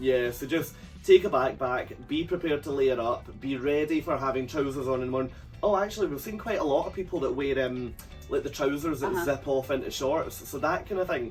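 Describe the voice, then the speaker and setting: A man speaks at a fairly quick pace with fairly high pitch and ordinary pitch variation. Music plays in the background. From United Kingdom. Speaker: cruise vlogger. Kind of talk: casual talk to camera.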